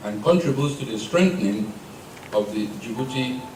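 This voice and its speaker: With audible room echo and noticeable background noise, a man speaks with lively intonation. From Nigeria. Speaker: maritime security official. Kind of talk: formal speech. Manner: formal.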